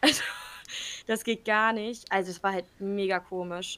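A woman speaks with a bright, sharp tone. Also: very clean recording, silent background. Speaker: podcast co-host. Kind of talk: casual chat.

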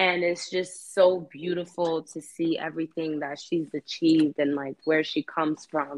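A woman speaks with a New York accent at a fairly low pitch and a moderate pace. Her intonation is monotone and flat, and the sound is dry and close with no echo. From New York, Queens (Elmhurst). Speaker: actress and rapper. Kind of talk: casual interview chat. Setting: online call.

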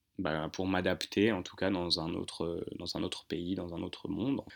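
A man talks at a moderate pace with a very deep, low pitch and a bright, sharp tone. His intonation is monotone and flat, on a very clean recording with a silent background. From Paris region, France (Hauts-de-Seine). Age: 20s. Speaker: business school student. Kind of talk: casual interview. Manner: hesitant, many fillers.

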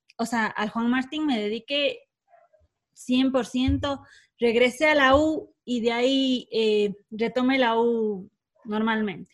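A woman's high-pitched voice at a very slow pace. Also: ordinary pitch variation. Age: 20s. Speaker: event business owner. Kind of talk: casual chat.

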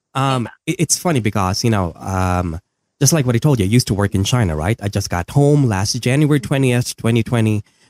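In a Filipino accent, a man talks at a fairly quick pace with lively intonation, recorded very cleanly against a silent background with a dry, close sound and no echo. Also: medium pitch for a man. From Philippines. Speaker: podcaster. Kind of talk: casual chat. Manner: animated.

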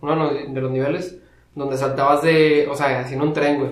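A man's fairly high voice with a Mexican accent at a moderate pace, with audible room echo and noticeable background noise. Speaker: podcast co-host. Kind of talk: casual chat.

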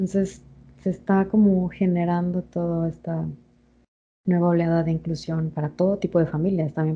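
Monotone, flat delivery from a woman with a fairly low voice at a moderate pace. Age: 20s. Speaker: podcast co-host. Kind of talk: casual chat.

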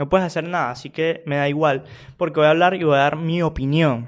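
On a very clean recording with a silent background, a man with a Venezuelan accent speaks at a fairly quick pace in a fairly high pitch with fairly even intonation. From Venezuela, small town. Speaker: podcaster. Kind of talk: casual monologue.

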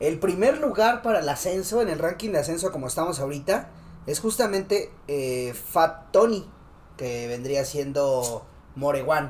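This man speaks with a Mexican accent, his pitch fairly high and his intonation lively. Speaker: streamer reacting to freestyle rap videos. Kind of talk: casual chat.

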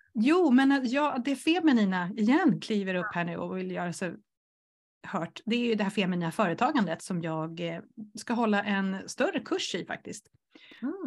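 A medium-pitched woman with lively intonation at a moderate pace, against a quiet background. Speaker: entrepreneur and coach for introverts. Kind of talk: casual interview chat.

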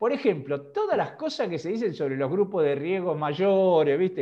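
His pitch swings very widely while he keeps to a moderate speed. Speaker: semiotics scholar. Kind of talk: interview. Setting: video call.

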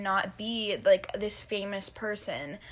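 This woman has an ordinary speaking voice with a fairly high pitch. She speaks at a fairly slow pace. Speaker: podcast co-host. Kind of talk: casual chat.

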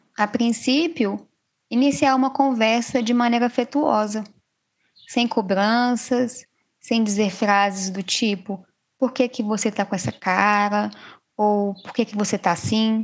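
Against a quiet background, a woman speaks in a somewhat breathy voice. Her pitch varies in an ordinary way. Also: fairly high pitch for a woman, fairly slow pace. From Minas Gerais, Brazil. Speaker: psychologist. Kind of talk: podcast interview.

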